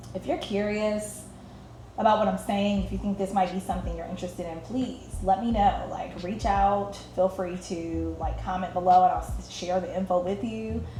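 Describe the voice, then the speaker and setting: At a moderate pace, a woman speaks with an American accent, with audible room echo around her. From US Midwest, Detroit. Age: 30s. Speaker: creative coach and show host. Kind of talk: casual monologue. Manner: relaxing, warm.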